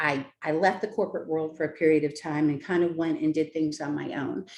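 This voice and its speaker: A plain, everyday voice, this woman talks at a fairly quick pace with a fairly low pitch. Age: 60s. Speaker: teacher. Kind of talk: job interview.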